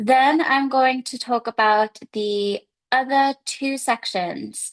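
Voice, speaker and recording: A woman's high voice in an English accent at a very slow pace, with dry, close sound, no echo, and a quiet background. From England. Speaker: English teacher. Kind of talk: seminar talk. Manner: hesitant fillers.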